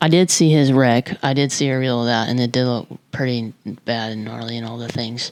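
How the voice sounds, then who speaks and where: A woman speaks quietly, her pitch varying in an ordinary way. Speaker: motorsport vlogger. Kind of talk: casual vlog commentary. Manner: quiet, held-down voice; casual, chatty.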